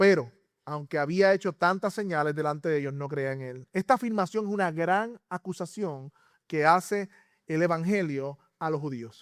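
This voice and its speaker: The voice moves at a moderate pace with ordinary pitch variation. The recording is very clean, with a silent background and a dry, close sound with no echo. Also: man, high pitch for a man. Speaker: pastor. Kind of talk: sermon. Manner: halting.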